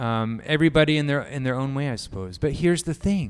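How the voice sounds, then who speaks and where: A man speaks with a fairly high pitch. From Japan. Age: 30s. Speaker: pastor. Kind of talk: sermon.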